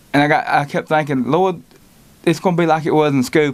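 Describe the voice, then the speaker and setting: With a Southern US accent, a man talks with ordinary pitch variation. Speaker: lay preacher. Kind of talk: testimony. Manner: halting.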